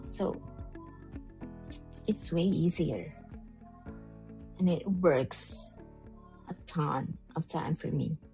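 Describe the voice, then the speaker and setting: Music sounds behind the speaker. She is a woman talking at a very slow pace. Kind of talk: casual talk to camera.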